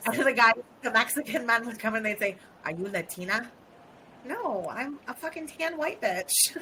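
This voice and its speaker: With an American accent and lively intonation, a woman speaks at a moderate pace over noticeable background noise. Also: fairly high pitch for a woman. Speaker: podcast co-host. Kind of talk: casual chat.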